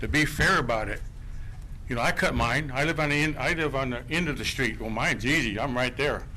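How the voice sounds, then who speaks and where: In a room with audible echo, a man speaks at a fairly quick pace. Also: medium pitch for a man, ordinary pitch variation. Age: 70s. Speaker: resident speaking at public meeting. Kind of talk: public comment at council meeting.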